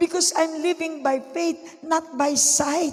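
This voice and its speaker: Someone speaks at a very slow pace over noticeable background noise. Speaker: pastor. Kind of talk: sermon. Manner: animated.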